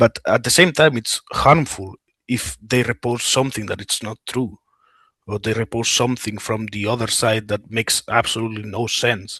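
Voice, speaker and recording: A man speaks with a Spanish accent at a medium pitch, his tone bright and sharp. Pitch varies in an ordinary way, and the sound is dry and close with no echo. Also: moderate pace. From Spain. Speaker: war veteran. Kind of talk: interview. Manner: halting, many fillers and restarts.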